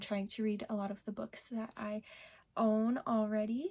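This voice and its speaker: Her voice is somewhat breathy, and the woman has a dark, mellow tone. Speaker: booktuber. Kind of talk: casual vlog talk.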